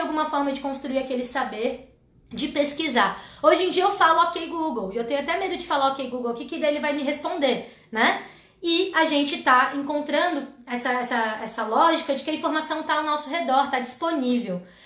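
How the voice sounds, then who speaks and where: In a room with audible echo, a woman projects a raised, high voice, bright and sharp in tone, animated and at a fairly quick pace. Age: 30s. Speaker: educator and live-stream host. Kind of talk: educational livestream talk.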